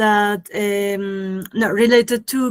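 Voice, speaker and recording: A woman speaks with a Colombian accent. Her intonation stays monotone and flat. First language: Spanish. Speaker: animator and filmmaker. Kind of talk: interview. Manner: halting, many fillers.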